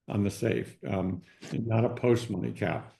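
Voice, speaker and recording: A man talks at medium pitch in a dark, mellow tone. His pitch varies in an ordinary way. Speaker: consumer goods business advisor. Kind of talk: webinar presentation. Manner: fast; hesitant, many fillers and repeats.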